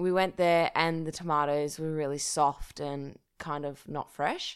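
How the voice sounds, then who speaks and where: A woman with an Australian accent speaks at a fairly slow pace in a very deep, low voice, her intonation fairly even. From regional New South Wales, Australia (Dubbo). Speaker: journalist and podcaster. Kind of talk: casual interview chat.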